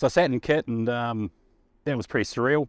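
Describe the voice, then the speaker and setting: A man with a New Zealand accent at a fairly quick pace, ordinary pitch variation, a dry, close sound with no echo and a very clean recording over a silent background. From New Zealand, Waikato and Blenheim. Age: 40s. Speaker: fan. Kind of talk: personal anecdote.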